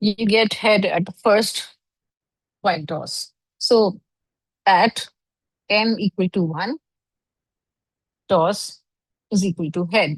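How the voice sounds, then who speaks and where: Somewhat breathy and very slow, a woman speaks with long, frequent pauses in a dry, close sound that has no echo. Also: medium pitch for a woman, ordinary pitch variation. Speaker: online course instructor. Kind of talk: lecture.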